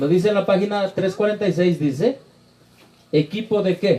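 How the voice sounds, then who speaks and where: A man's high-pitched voice with a dark, mellow tone. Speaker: preacher. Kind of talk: Q&A session with congregation. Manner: fast.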